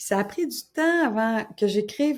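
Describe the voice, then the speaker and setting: Here a woman speaks with ordinary pitch variation. The recording is very clean, with a silent background. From Quebec, Gaspésie (Caplan). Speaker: crime novelist. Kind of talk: interview. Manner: casual, conversational.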